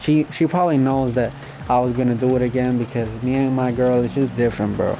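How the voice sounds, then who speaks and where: A man talks at a fairly quick pace with a Spanish accent. There is noticeable background noise. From Puerto Rico. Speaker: YouTuber. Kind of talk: storytime monologue. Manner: casual.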